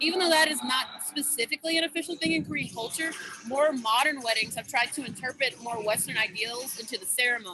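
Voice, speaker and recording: A raised, projected voice races along at a very fast pace with an animated tone and lively intonation. Noticeable background noise runs underneath. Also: woman, high pitch for a woman. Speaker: student club presenter. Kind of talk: club presentation over video call. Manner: loud.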